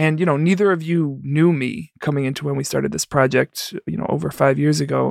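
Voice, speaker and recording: The sound is dry and close, with no echo. A man with an American accent talks at a fairly quick pace. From New York, the Bronx. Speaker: podcast producer. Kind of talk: casual chat; hosting a game segment.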